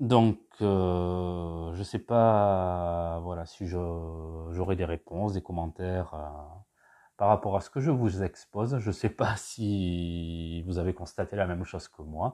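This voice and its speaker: Against a quiet background, a man speaks very slowly with a very deep, low pitch and a dark, mellow tone. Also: fairly even intonation. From southwestern France, Basque Country. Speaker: podcast host. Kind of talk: solo monologue podcast. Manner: hesitant, many fillers.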